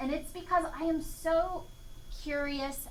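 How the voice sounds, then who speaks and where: At a fairly slow pace, a raised, projected voice carries through audible room echo and noticeable background noise. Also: woman. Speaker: entomology professor. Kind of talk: lecture.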